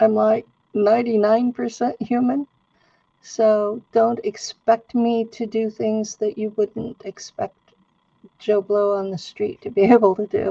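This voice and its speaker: A woman speaks at a fairly slow pace and a fairly high pitch, with fairly even intonation. Her tone is dark and mellow, and the sound is dry and close, with no echo. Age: 70s. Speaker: roundtable guest, claimed experiencer. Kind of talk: roundtable discussion.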